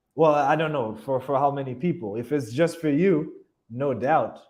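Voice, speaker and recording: Lively intonation comes at a fairly slow pace, with audible room echo. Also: man. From Haiti. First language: French and Haitian Creole. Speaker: YouTuber, expat vlogger. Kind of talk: live Q&A stream. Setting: livestream reading viewer chat. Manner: halting, frequent self-repeats.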